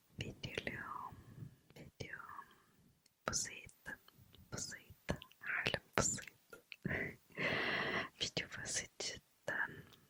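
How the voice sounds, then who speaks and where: Over noticeable background noise, a woman whispers at a very slow pace with long, frequent pauses. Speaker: ASMR creator. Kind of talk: ASMR night chat. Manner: whispered, soft-spoken.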